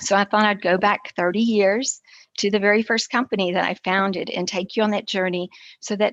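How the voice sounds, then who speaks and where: Here is a woman with an unremarkable speaking voice, medium pitch and fairly even intonation at a moderate pace. The sound is dry and close, with no echo. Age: 60s. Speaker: entrepreneur and keynote speaker. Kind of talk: keynote talk.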